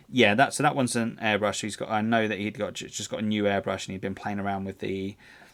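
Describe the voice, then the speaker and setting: Fairly low-pitched man speaking at a very fast pace with hardly any pauses and fairly even intonation, on a very clean recording with a silent background. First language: not English. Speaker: tabletop wargaming stream host. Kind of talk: casual live-stream chat reviewing painting entries. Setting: live stream. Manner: halting, many fillers and repeated words.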